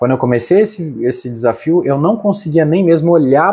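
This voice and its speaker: A man's voice with very wide pitch swings at a fairly quick pace, in a very clean recording with a silent background. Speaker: vlogger. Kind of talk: casual vlog monologue to camera. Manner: fast, few pauses.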